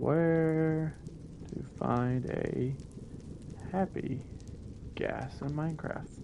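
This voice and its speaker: This man has a fairly high pitch and fairly even intonation, pausing long and often. Noticeable background noise and audible room echo surround him. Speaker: gaming streamer. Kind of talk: live gameplay commentary. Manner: fast, words get mixed up.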